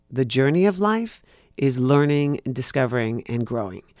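A man with a New York accent and lively intonation, in a very clean recording with a silent background. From New York City. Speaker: actor. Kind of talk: casual chat.

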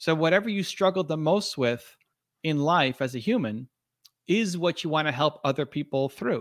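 A man with a normal speaking voice and a fairly high pitch talks at a moderate pace with lively intonation, in a very clean, silent recording that sounds dry and close with no echo. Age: 40s. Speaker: entrepreneur and author. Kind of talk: interview.

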